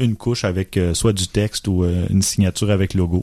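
A man speaks at a moderate pace with fairly low pitch. His tone is dark and mellow. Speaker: photography podcast host. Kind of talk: casual chat.

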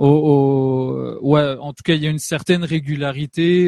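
In a dark, mellow tone, the voice moves at a very slow pace with fairly even intonation, in a dry, close sound with no echo. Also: man. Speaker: radio host. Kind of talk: radio interview. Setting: studio. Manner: friendly, hesitant.

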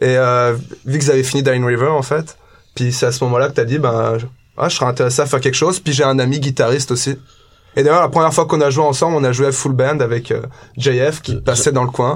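A man speaks at a very fast pace, somewhat breathy, with medium pitch and fairly even intonation. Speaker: band member musician.

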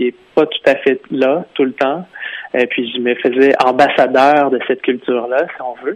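Speaking with a Quebec accent, a man uses a fairly high pitch at a fairly slow pace. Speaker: author. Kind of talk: interview.

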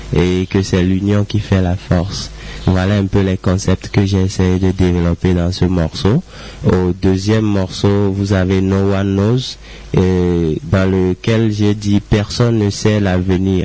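Over noticeable background noise, a man speaks at a very slow pace in a fairly low pitch, his intonation monotone and flat and his loudness very even. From Togo. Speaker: musician. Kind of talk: interview.

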